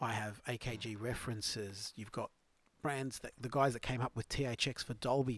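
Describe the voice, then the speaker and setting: A man speaks at medium pitch and a moderate pace in a plain, everyday voice. His intonation is fairly even, and the recording is very clean with a silent background. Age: 30s. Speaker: podcast co-host. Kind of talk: casual chat.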